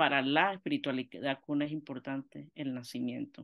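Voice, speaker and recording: The speaker is a woman at a moderate pace. Her surroundings are quiet. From Panama. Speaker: theologian and missionary; guest. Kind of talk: lecture. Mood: warm, engaged. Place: home room. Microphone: webcam.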